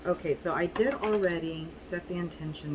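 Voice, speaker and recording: Through noticeable background noise, a woman speaks at a moderate pace with ordinary pitch variation. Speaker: tarot reader. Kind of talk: tarot reading video. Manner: casual, halting with fillers.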